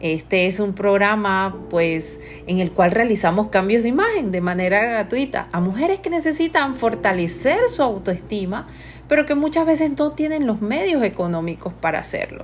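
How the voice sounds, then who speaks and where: Very wide pitch swings from a woman at a medium pitch, with noticeable background noise. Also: moderate pace. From Panama. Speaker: image consultant. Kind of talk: podcast monologue.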